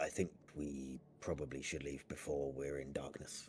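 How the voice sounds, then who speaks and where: A man puts on a character voice pitched very deep and low, with monotone, flat intonation. He talks at a moderate pace over clear background noise. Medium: actual play.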